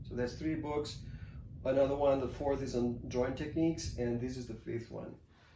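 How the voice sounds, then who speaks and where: A man with a medium-pitched voice speaks with fairly even intonation, and audible room echo surrounds him. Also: moderate pace. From Spain (Catalonia). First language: Catalan. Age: 50s. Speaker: artist and author. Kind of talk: interview. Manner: halting.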